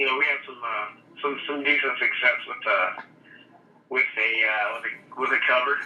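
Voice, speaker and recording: With an American accent, a man speaks with big swings in loudness and long, frequent pauses. There is noticeable background noise and audible room echo. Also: moderate pace. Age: 30s. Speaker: rock band singer. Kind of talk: interview. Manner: halting.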